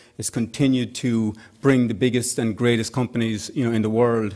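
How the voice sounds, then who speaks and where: A man's fairly quick, monotone delivery at a medium pitch, flat in intonation. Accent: Irish. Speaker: tech executive and organization founder. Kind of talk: conference speech.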